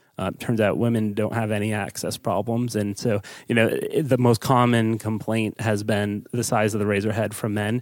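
Speaking with an American accent, a man holds a fairly low pitch in a monotone, flat delivery. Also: moderate pace, hardly any pauses. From US East Coast. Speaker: startup co-founder. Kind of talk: interview.

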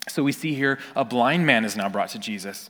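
A man speaks with a West Coast US accent at a medium pitch. His pitch varies in an ordinary way, and his pace is moderate. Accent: General American (West Coast). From Northern California. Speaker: pastor. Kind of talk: sermon.

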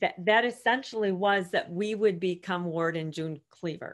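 Speaking at a fairly slow pace, a woman has a normal speaking voice. Her pitch is medium, with ordinary variation. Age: 50s. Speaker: author and women's coach. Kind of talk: interview.

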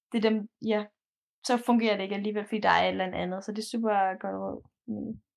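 A woman at a very fast pace, broken by long, frequent pauses. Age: 20s. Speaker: university student. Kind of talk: casual interview. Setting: recorded remotely, separate rooms.

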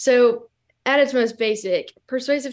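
Over a quiet background, a woman with an ordinary speaking voice and an American accent talks at a fairly slow pace with fairly even intonation. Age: young. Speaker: student. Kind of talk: interview. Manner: laughs often.

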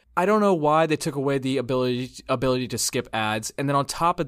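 Recorded very cleanly against a silent background, a man speaks at a medium pitch. He moves at a fairly quick pace with ordinary pitch variation. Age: 20s. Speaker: podcast host. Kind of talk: casual chat. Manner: animated.

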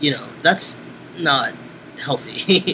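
A man with an American accent speaks at a very slow pace. Noticeable background noise can be heard. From Brooklyn, New York (East New York). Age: 30s. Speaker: musician and sex educator. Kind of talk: oral history interview. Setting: interviewer's house.

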